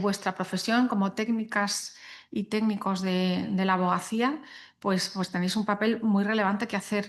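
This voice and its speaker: Against a quiet background, a woman speaks at a medium pitch. Her pace is fairly slow. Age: 60s. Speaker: guest speaker on sustainability and law. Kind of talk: panel talk to young lawyers. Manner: hesitant, many fillers.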